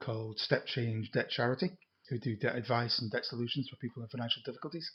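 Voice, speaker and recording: Speaking at a very fast pace, a man uses fairly even intonation, a medium pitch and a somewhat breathy voice. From Scotland, Edinburgh. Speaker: retired IT project manager. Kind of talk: casual chat. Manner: halting.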